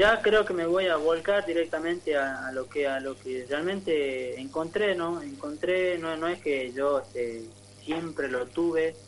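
Noticeable background noise sits behind a man talking fairly slowly at a fairly high pitch, with ordinary pitch variation. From northern Argentina (Tartagal, Salta). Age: 20s. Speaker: musician and soldier. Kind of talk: radio interview. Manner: halting.

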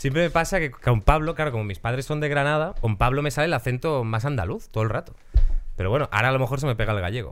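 Talking at a very fast pace, a man uses lively intonation at a medium pitch. The recording is very clean and the background silent. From Galicia, Spain. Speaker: podcast host. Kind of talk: casual chat. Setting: studio.

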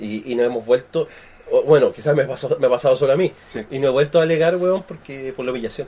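Dark and mellow in tone, a man's voice moves at a very fast pace. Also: fairly high pitch for a man, ordinary pitch variation. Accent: Chilean. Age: 40s. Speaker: podcast co-host. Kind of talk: casual chat.

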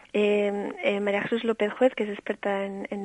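The sound is dry and close with no echo, over a quiet background. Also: woman. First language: bilingual English and Spanish (speaking Spanish). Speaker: early childhood education specialist. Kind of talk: interview.

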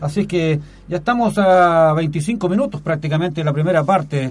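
A man with a Chilean accent, fairly high pitch and ordinary pitch variation. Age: 50s. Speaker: community radio sports host. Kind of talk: radio sports show. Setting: radio studio.

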